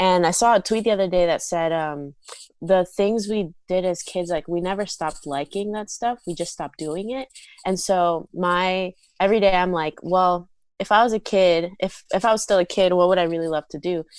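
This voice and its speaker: A woman with an American accent speaks in a normal speaking voice at medium pitch, with fairly even intonation and a moderate pace. The recording is very clean and dry, close with no echo and a silent background. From South Florida. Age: 20s. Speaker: content creator and musician. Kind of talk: casual chat. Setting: podcast interview.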